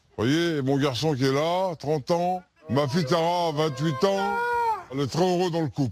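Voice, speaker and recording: A man with a plain, everyday voice speaks fairly slowly at a fairly high pitch, with ordinary pitch variation and very even loudness. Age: 60s. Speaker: Roma traveller interviewed in documentary. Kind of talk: documentary interview.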